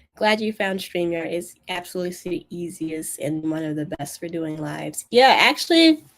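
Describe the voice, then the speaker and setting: In an ordinary speaking voice, a woman talks at a moderate pace, her fairly low pitch showing ordinary variation. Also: hardly any pauses. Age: 20s. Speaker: YouTube coach and video editor. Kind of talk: live stream Q&A. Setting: live stream. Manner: casual, many fillers.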